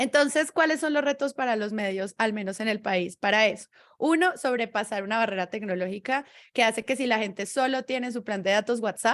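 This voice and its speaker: With a Bogotá accent, a woman talks at a fairly quick pace in a fairly high pitch with ordinary pitch variation, on a very clean recording with a silent background. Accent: Bogotá Colombian Spanish, central. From Colombia, Bogotá. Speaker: podcaster, podcast producer. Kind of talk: panel discussion in a virtual event.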